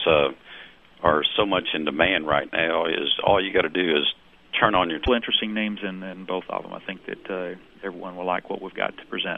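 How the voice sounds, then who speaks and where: A man with a very deep, low pitch and a slight Southern US accent speaks at a fairly quick pace. His intonation stays fairly even, but his loudness swings widely. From US South. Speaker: domain investor. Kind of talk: interview. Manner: halting.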